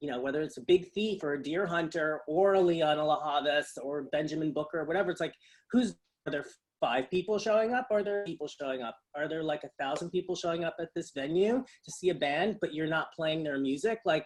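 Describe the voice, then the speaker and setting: A man with an American accent talks at a fairly quick pace. His fairly high-pitched voice has ordinary pitch variation. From New York suburbs. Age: 50s. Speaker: DJ and music industry figure. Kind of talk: interview conversation. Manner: halting, many fillers.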